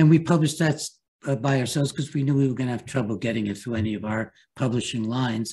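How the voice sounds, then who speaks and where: A man talks at a very fast pace in a medium pitch, somewhat breathy and dark, mellow in tone, with ordinary pitch variation. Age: 80s+. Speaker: psychiatrist and author. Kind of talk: interview. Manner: halting.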